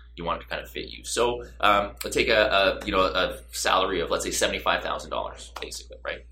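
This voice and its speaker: Talking at a very fast pace with hardly any pauses, a man swings widely in loudness amid audible room echo. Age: 30s. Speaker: real estate broker. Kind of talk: interview.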